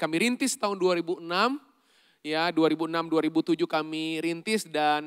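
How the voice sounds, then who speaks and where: Dry and close with no echo, a man's high-pitched voice comes through. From Indonesia, not Surabaya. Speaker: pastor and leadership coach. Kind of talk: sermon. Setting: church service with congregation. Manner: interactive, engaging audience.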